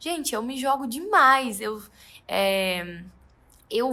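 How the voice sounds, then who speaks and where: Using a raised, projected voice, a woman speaks high-pitched with a bright, sharp tone and very wide pitch swings. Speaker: photographer. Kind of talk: tutorial. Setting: studio.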